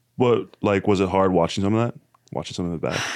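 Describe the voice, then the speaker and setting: This is a man speaking with a Canadian accent. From Canada. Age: 20s. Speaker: podcast host. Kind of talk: casual chat.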